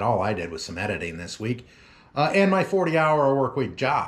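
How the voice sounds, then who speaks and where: The voice has vocal fry. Its pitch swings very widely. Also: man. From Oklahoma. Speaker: lawn care business owner, vlogger; vlogger. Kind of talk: casual vlog talk to viewers. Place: home room. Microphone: phone near.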